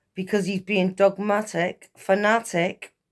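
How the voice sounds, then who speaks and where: A woman at medium pitch with an English accent, at a very slow pace. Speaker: tarot reader. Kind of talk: tarot reading monologue.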